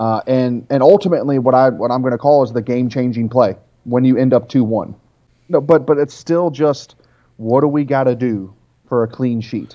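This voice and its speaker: Speaking at a moderate pace, a man uses an unremarkable speaking voice, mid-pitched and with ordinary pitch variation. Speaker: soccer analyst. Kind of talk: casual chat.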